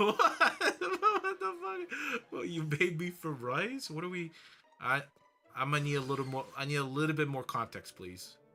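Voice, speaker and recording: Moderately paced speech from a man, with noticeable background noise behind him. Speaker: gaming streamer. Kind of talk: casual live stream chat. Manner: loud; animated, repetitive stammering.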